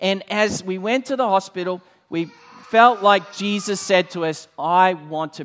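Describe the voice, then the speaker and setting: A man with a high pitch talks at a fairly slow pace. His intonation is lively, with big swings in loudness. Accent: Australian. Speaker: church leader and preacher. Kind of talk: sermon. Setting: church with congregation.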